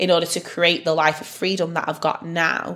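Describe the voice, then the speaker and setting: Noticeable background noise under a woman's fairly low voice at a fairly quick pace. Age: 30s. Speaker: podcast host. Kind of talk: motivational monologue.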